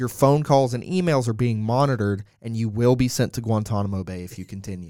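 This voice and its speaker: A man speaks at a fairly quick pace in a medium pitch with ordinary pitch variation. It is an ordinary speaking voice. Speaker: soccer podcast co-host. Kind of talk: casual chat.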